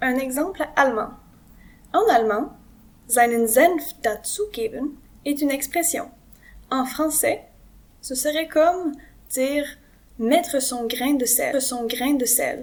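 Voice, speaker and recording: Speaking very slowly with long, frequent pauses, a woman uses a high pitch and a Quebec accent. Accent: Québécois French. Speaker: French teacher. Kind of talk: educational lesson to camera.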